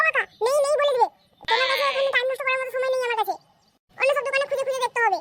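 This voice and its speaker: This cartoonish character voice is squeaky and extremely high in pitch, delivered at a very fast pace. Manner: crude, boastful.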